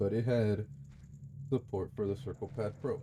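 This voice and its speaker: A man's dark, mellow voice with an American accent, at a moderate pace and with ordinary pitch variation. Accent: sounds American. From Mexico, moved to US as a child. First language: Spanish. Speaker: gaming streamer. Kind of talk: casual gameplay commentary. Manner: hesitant, many fillers.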